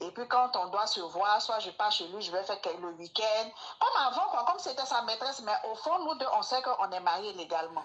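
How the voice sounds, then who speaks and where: Lively, fairly high-pitched female speech with an Ivorian accent at a moderate pace, over noticeable background noise. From Ivory Coast. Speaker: caller seeking advice. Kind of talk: personal testimony.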